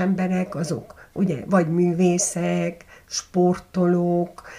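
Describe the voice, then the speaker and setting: Dark and mellow in tone, a woman's medium-pitched voice sounds somewhat breathy. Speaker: journalist and documentary maker. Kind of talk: interview. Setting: at her home.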